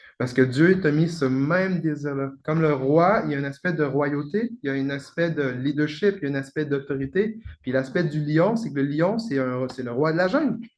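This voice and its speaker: This man has an ordinary speaking voice, fairly high in pitch. He speaks at a moderate pace with ordinary pitch variation. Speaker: pastor. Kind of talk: prophetic ministry.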